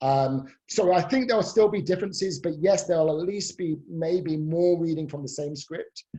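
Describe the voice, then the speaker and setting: Moderate pace with hardly any pauses, in a British accent. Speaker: professor. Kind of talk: expert Q&A in a webinar. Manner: hesitant, many fillers.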